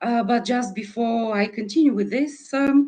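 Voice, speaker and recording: With a Bulgarian accent, a woman with a fairly high pitch speaks with lively intonation. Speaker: sustainable tourism expert. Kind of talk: online forum presentation. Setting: video call. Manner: hesitant, many fillers.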